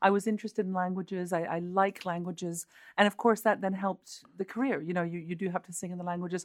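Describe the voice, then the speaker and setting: Delivery is very fast and monotone, with flat intonation and big swings in loudness. The recording is very clean, with a silent background. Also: woman, medium pitch for a woman. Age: 50s. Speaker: opera singer. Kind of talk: interview.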